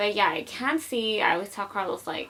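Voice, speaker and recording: With noticeable background noise behind her, a woman at a medium pitch talks at a very fast pace. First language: Spanish. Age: 20s. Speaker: YouTuber. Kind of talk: casual vlog chat. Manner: casual, filler-heavy.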